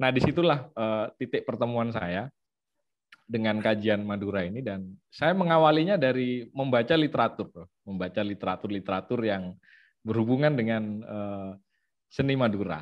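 Here is a man with a normal speaking voice and a medium pitch. He talks at a moderate pace with lively intonation. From Situbondo, East Java, Indonesia. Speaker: ethnomusicologist researcher. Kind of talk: online lecture with slides.

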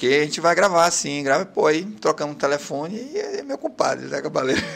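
This man's voice sits at a fairly high pitch and is an unremarkable speaking voice. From Pará, Brazil (Capanema, Bragança). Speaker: songwriter and TV news presenter. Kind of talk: casual interview. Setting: studio, live video stream.

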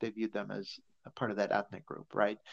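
The voice has an American accent, and the sound is dry and close with no echo. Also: man. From Chicago area, US Midwest. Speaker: social work professor. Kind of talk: interview conversation. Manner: halting, many fillers.

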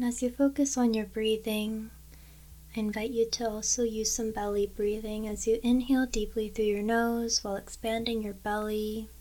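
A woman's dark, mellow, gentle, calm voice, fairly high in pitch, with monotone, flat intonation. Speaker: meditation guide. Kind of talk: guided meditation. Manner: slow, calm and soothing, with long pauses; gentle, measured and instructional.

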